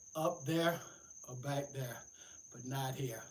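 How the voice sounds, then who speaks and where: At a moderate pace, a man speaks in a somewhat breathy voice with fairly high pitch and audible room echo. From US South, Atlanta, Georgia. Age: 70s. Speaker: fitness livestreamer. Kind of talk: livestream workout chat. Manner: casual.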